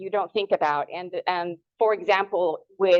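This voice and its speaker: A woman with a Spanish accent speaks at a moderate pace in a medium pitch with ordinary pitch variation. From Ecuador. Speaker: horticulture extension agent. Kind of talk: lecture.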